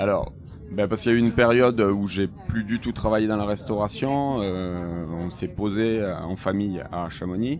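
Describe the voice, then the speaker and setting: A man with a southern French accent speaks at a moderate pace and a fairly low pitch. There is ordinary pitch variation and noticeable background noise. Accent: pronounced southern French (Béziers). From southern France, Béziers. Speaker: ice cream maker and ski patroller. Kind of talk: interview. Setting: on board a moving train. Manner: halting, many hesitations.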